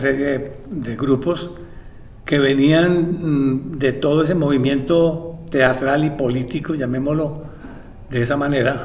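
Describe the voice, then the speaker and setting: Amid noticeable background noise and audible room echo, a man with a fairly high pitch speaks at a fairly slow pace with fairly even intonation. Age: 70s. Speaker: theatre director. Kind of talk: interview. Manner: halting.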